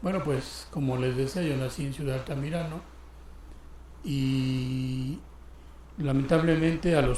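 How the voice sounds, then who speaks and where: A man with a fairly high pitch speaks at a fairly slow pace with fairly even intonation and long, frequent pauses. Noticeable background noise and audible room echo fill the recording. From Mexico, Guerrero (Tierra Caliente). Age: 60s. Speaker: church deacon. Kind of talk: testimony.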